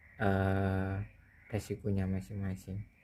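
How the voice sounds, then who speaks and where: In a very clean recording with a silent background, a man speaks in a fairly low pitch with a dark, mellow tone. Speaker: tech video creator. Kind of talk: casual tutorial talk. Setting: home near rice fields. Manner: hesitant with fillers.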